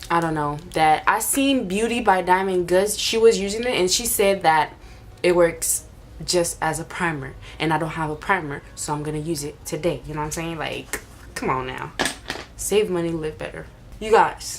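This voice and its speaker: Amid audible room echo and noticeable background noise, a woman speaks at a fairly low pitch and moderate pace with ordinary pitch variation. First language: not English. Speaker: beauty vlogger. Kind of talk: makeup tutorial. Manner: casual, chatty.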